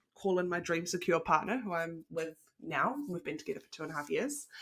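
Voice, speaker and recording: The tone is bright and sharp. The speaker has a New Zealand accent. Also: woman. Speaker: relationship coach. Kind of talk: online masterclass presentation. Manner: enthusiastic.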